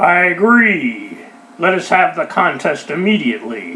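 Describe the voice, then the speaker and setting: A man's raspy, put-on character voice, high-pitched, with very wide pitch swings at a moderate pace. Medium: read story. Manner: gruff, sulky.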